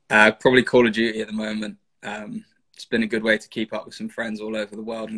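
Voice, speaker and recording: A man with a London accent at a fairly quick pace, against a quiet background. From London, England. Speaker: rugby player. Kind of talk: casual interview. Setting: video call. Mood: relaxed, smiling. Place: home room. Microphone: video call.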